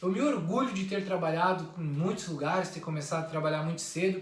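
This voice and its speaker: Over noticeable background noise and audible room echo, a man speaks in a high voice. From Santa Catarina, southern Brazil (interior). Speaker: YouTuber. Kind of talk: personal introduction monologue.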